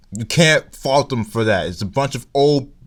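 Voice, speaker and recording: On a very clean recording with a silent background, a man with a slight Nigerian accent speaks at a moderate pace and medium pitch, his pitch varying in an ordinary way. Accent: weak Nigerian accent, can put it on. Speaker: YouTube commentator. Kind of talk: vlog commentary. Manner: casual, halting with restarts.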